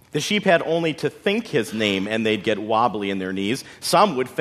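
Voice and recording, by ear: The text is read aloud in a natural voice.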